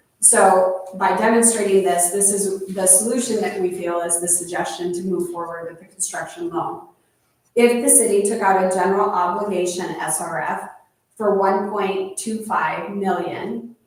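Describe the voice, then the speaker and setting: Speaking at a moderate pace, a woman has a medium pitch and fairly even intonation. Room echo can be heard. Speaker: city official presenting finances to council. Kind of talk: council meeting presentation. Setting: city council meeting.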